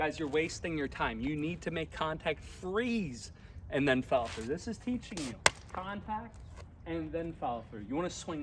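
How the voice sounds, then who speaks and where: Through noticeable background noise, a man with a fairly high pitch speaks at a moderate pace with lively intonation. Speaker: tennis coach. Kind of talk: tutorial. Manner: loud; animated.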